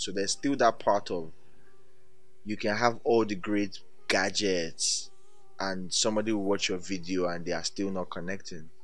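A man's voice over background music. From Nigeria. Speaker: digital creator. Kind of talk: storytelling, acting out a scene. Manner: animated, vivid scene-painting; playful, fast-paced with laughs.

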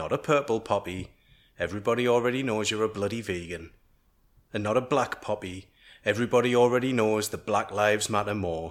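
This man has a fairly low pitch and a normal speaking voice, talking at a fairly quick pace. The recording is very clean, with a silent background. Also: ordinary pitch variation. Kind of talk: satirical spoken word rant. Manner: angry, sardonic.

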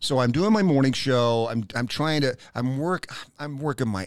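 A man at medium pitch, moderate pace and lively intonation, in a very clean recording with a silent background and a dry, close sound with no echo. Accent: American. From US South, Knoxville, Tennessee. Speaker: radio host and podcaster. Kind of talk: casual interview chat. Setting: studio. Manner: animated.

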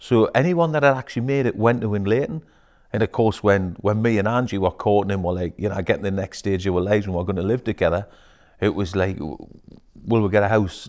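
Against a quiet background, a man with a Geordie accent talks at a very fast pace with ordinary pitch variation. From northeast England, Newcastle. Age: 50s. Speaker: businessman. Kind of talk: casual chat. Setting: studio.

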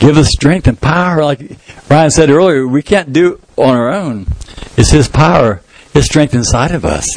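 This man has a plain, everyday voice at a fairly high pitch. His pitch variation is ordinary. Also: moderate pace. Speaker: pastor. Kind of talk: sermon.

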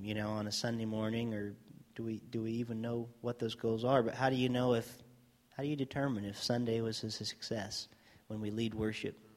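This man talks at a fairly quick pace. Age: 30s. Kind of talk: casual chat. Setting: studio. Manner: rambling, hesitant.

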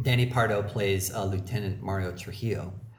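Against audible room echo, a somewhat breathy man with a fairly low pitch talks at a fairly quick pace with fairly even intonation. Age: 40s. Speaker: comedy writer and actor. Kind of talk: casual chat.

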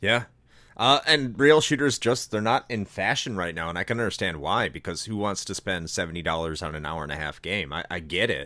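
This man has an American accent and a very deep, low pitch that swings very widely. His tone is bright and sharp, and his pace is fairly quick. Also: very clean recording, silent background. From United States. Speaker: podcast presenter. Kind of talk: casual chat.

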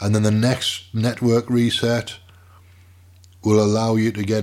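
Recorded very cleanly against a silent background, a man with a British accent speaks fairly slowly at a medium pitch. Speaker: podcaster and radio show host. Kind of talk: casual monologue. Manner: relaxed, rambling.

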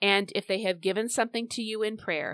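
A woman speaks in a plain, everyday voice at a moderate pace with ordinary pitch variation, the sound dry and close with no echo in a very clean recording with a silent background. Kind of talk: fervent intercessory prayer spoken aloud to God. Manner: earnest, pleading, heartfelt, direct address to the Lord.

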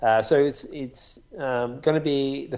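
This man talks with an Australian accent. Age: 30s. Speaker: podcast co-host and runner. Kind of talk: casual chat.

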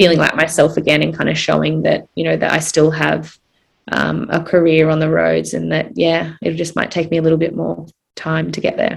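A woman speaks at a moderate pace in an Australian accent. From Australia, Gold Coast hinterland. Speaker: Olympic distance runner. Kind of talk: interview.

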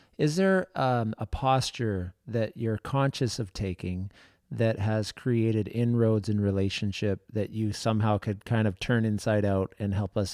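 Over a very clean recording with a silent background, a man in an unremarkable speaking voice talks fairly slowly at a fairly low pitch with ordinary pitch variation. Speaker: podcast co-host.

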